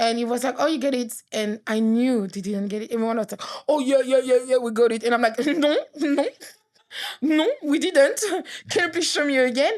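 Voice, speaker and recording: Speaking in a French accent, a woman uses a high pitch, a moderate pace, an animated tone and ordinary pitch variation. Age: 30s. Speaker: author. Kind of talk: casual chat.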